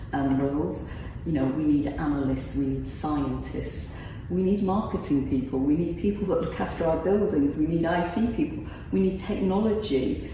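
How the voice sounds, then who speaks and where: Lively intonation from a woman with a very deep, low pitch, moderate pace and very even loudness, amid noticeable background noise and audible room echo. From North Yorkshire, England. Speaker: insurance executive. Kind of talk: interview. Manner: animated.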